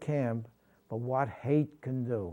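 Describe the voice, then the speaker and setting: A man's medium-pitched voice with a New York accent, a dark, mellow tone and fairly even intonation. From New York City (Brooklyn). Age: 80s+. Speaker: war veteran. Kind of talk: interview testimony. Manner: halting.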